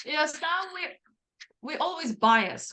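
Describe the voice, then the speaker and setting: In a non-native accent, a woman speaks with a high pitch and a bright, sharp tone. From Ukraine. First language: not English. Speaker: singer-songwriter, metal musician. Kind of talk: interview.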